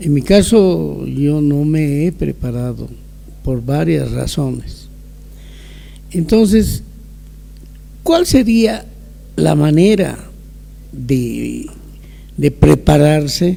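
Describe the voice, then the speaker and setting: Long, frequent pauses break up a man's very slow speech, with noticeable background noise in the recording. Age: 70s. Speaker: older adult giving testimony. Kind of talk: testimony. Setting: video call.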